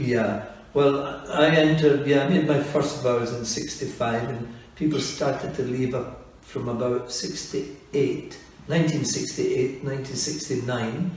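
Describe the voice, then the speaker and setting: Audible room echo and noticeable background noise surround a man with a Scottish accent. His pitch is fairly high, his intonation fairly even, and his pace fairly slow. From Scotland. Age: 70s. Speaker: priest. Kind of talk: interview.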